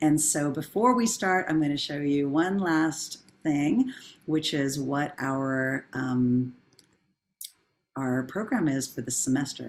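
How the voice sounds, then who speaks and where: A woman speaks very slowly in a warm tone, her pitch very deep and low, with ordinary pitch variation. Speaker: professor and workshop facilitator. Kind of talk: online workshop facilitation. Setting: video call. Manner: warm, encouraging.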